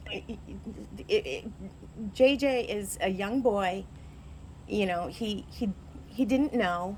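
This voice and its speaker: Using vocal fry at a medium pitch, a woman talks at a very slow pace with ordinary pitch variation and long, frequent pauses. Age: 50s. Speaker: dog owner. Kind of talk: argument with animal control officer. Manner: halting.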